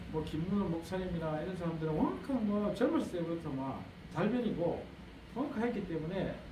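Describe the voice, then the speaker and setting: Noticeable background noise and audible room echo surround a man who speaks with ordinary pitch variation. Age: 60s. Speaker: pastor and lecturer. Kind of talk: lecture. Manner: conversational, repetitive.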